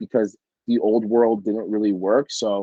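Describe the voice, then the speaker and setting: A man speaks at a medium pitch and a moderate pace. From Canada, Jamaican Canadian family. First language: French. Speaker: photographer and NFT artist. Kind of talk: casual interview chat. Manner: many fillers (um, like).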